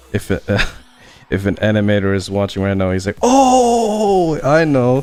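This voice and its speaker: Over music in the background, a man with a non-native accent speaks at a fairly slow pace. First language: not English. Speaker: animator streaming his work. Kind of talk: casual livestream chat while working. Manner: casual, halting with fillers.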